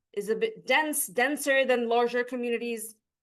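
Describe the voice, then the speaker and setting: Her voice high in pitch, a woman speaks with an Arabic accent at a moderate pace and ordinary pitch variation over a quiet background. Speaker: PhD researcher. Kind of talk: academic conference presentation. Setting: lecture hall, recorded on Zoom.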